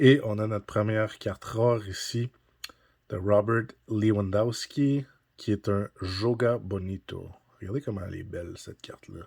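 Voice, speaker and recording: Speaking at a fairly slow pace, a man with a fairly low pitch talks with a strong Quebec accent. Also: fairly even intonation, big swings in loudness. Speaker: card-collecting YouTuber. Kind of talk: unboxing commentary. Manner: casual, hesitant with frequent 'euh'.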